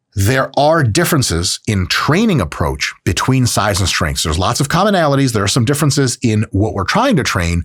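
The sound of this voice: A man with a Michigan accent at medium pitch, very wide pitch swings, very even loudness and a fairly quick pace with hardly any pauses. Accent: Michigan Midwestern American.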